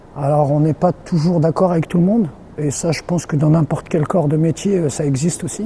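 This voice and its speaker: A man speaks with a high pitch. Noticeable background noise can be heard. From France, Limoges. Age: 30s. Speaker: sports team equipment and logistics manager. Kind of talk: interview. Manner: halting, many fillers and repetitions.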